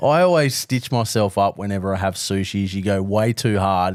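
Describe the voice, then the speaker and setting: Recorded very cleanly against a silent background, a man with an Australian accent talks at a moderate pace with ordinary pitch variation. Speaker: barbecue podcast co-host. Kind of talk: casual chat.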